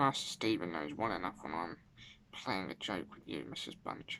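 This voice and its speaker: Using a put-on character voice, a man speaks at a moderate pace in a very deep, low pitch with lively intonation and big swings in loudness, with clear background noise behind him. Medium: read story.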